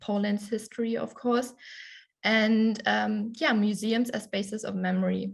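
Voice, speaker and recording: A woman's fairly high, somewhat breathy voice with a German accent, at a moderate pace, in a fairly even intonation, against a quiet background. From Germany. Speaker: conference presenter. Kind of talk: conference presentation. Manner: hesitant, many fillers.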